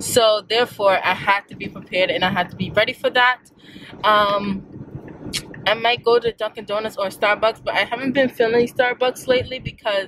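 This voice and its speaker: A woman at a fairly quick pace, fairly even intonation, dry sound with no echo, and noticeable background noise. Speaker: vlogger. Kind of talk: casual vlog chat. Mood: amused, exasperated. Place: car. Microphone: phone near.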